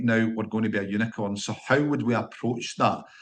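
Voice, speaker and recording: A man speaks with a Scottish accent at a moderate pace. His pitch is medium, and the background is quiet. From Scotland. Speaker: company founder, engineer. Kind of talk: podcast interview. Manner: hesitant, repeats words.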